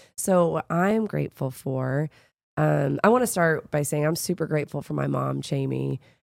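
Delivery comes at a moderate pace. The recording is very clean, with a silent background and a dry, close sound lacking any echo. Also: woman. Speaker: podcast co-host and fitness coach. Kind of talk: casual chat. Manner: animated, energetic, cheering along.

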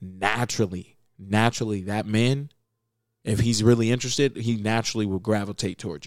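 Animated in tone, a man speaks with an American accent at a fairly quick pace. His pitch is fairly low. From Las Vegas, Nevada, US. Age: 20s. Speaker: podcast co-host. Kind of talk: casual chat.

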